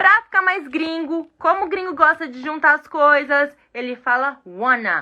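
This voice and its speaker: Raised and projected, a woman's high voice sounds bright and sharp, with an animated tone and lively intonation. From Brazil. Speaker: English teacher. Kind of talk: live online lesson.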